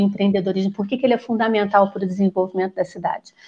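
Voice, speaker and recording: A woman's voice, somewhat breathy, its pitch moving in a typical way. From Rio de Janeiro, Brazil. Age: 50s. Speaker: psychologist and political candidate. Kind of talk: panel discussion.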